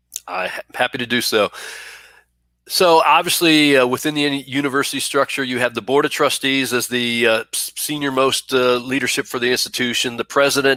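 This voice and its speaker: This man has a medium pitch, fairly even intonation, and a bright, sharp tone with a slight Texas accent. The sound is dry and close, with no echo. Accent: slight Southern, Texas drawl. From Buffalo, New York. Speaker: university vice president for student affairs. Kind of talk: live-streamed interview. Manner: hesitant, many fillers.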